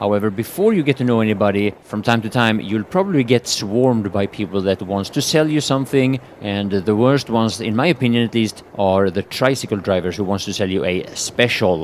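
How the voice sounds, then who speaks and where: Against noticeable background noise, a man with a fairly low pitch speaks with ordinary pitch variation. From Sweden. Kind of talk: travel vlog talk to camera.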